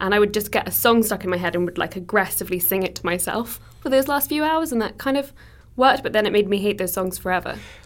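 Speaking very fast, a woman with medium pitch uses lively intonation and vocal fry. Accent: English. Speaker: podcast producer. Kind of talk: casual chat.

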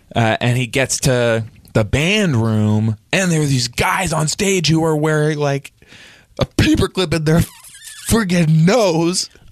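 A man speaks fairly slowly in a fairly high pitch at a very even loudness. The sound is dry and close with no echo, though noticeable background noise comes through. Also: lively intonation. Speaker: comedy podcast host. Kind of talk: comedic improv chat.

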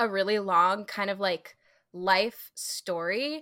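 In an American accent, the speaker goes at a very slow pace with a bright, sharp tone on a very clean recording with a silent background. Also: woman. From US Midwest. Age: 30s. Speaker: plus-size fitness professional. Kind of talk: interview, personal story.

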